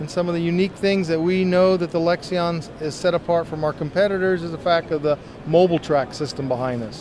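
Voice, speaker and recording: A man with a high pitch talks at a fairly quick pace and fairly even intonation. The sound is dry with no echo, though noticeable background noise is present. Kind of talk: interview answer. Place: hall. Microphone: handheld.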